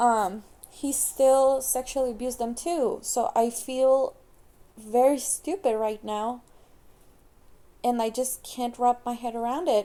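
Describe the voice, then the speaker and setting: Pausing long and often, a woman with a non-native accent speaks at a high pitch in a dark, mellow tone. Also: ordinary pitch variation. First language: not English. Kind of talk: casual personal talk to camera. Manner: hesitant.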